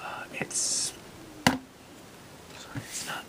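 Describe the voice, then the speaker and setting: A man whispering over noticeable background noise. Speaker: ASMR creator and hobbyist guitarist. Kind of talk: ASMR gear show-and-tell to camera. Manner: soft-spoken, whispering.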